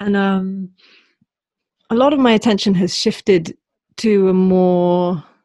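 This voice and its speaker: A woman with a British accent, a medium pitch and a dark, mellow tone, speaking at a fairly slow pace with ordinary pitch variation and long, frequent pauses. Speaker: podcast host. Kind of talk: podcast interview with scripted intro and ad read.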